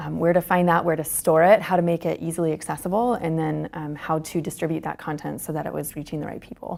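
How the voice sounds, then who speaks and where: A woman with a fairly low pitch and vocal fry talks at a very fast pace with hardly any pauses. Her intonation stays fairly even. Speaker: employer branding manager. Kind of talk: interview. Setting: conference.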